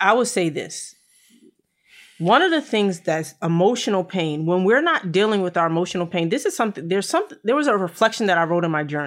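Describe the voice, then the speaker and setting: Here, a woman talks in an unremarkable speaking voice at a medium pitch with lively intonation. Her pace is fairly quick, on a very clean recording with a silent background. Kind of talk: casual talk, live-streamed conversation. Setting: Facebook Live video stream.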